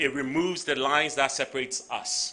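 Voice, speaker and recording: A man speaks with a Ghanaian accent at a moderate pace, his pitch fairly high and varying in an ordinary way. His tone is bright and sharp. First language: Ga. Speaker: tech company CEO. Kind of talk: conference speech.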